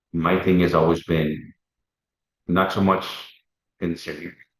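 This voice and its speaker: In a Puerto Rican accent, a man speaks at a moderate pace with a very deep, low pitch and fairly even intonation. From Wisconsin, Puerto Rican family. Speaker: former federal undercover agent. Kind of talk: interview storytelling. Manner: halting, many repeated words.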